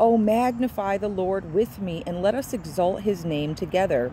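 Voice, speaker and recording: Over noticeable background noise, a woman speaks with lively intonation at a moderate pace. The sound is dry, with no echo. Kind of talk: informal devotional teaching. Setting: outdoors near a road. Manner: casual and warm. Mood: earnest, devotional. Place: open country. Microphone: phone near.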